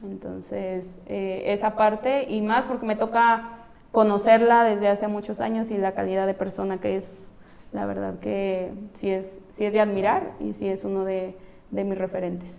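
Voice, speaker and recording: This woman has a plain, everyday voice, medium in pitch, speaking at a fairly slow pace with fairly even intonation. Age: 30s. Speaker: professional footballer. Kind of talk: interview.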